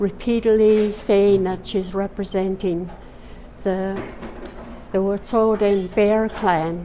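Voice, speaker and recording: Over noticeable background noise, a woman with a medium pitch speaks very slowly in a flat, monotone way. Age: 80s+. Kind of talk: public statement.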